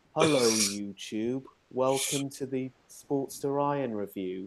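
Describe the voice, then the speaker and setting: Putting on a robotic character voice, a man speaks at a medium pitch and a fairly slow pace. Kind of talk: stiff scripted intro. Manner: robotic, monotone.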